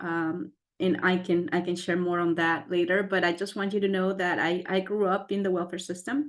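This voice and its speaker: With a Spanish accent, a woman talks at a medium pitch in fairly even intonation, with hardly any pauses. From Mexico, then US. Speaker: scientist / STEM professional. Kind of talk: panel webinar talk. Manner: repeats words, some fillers.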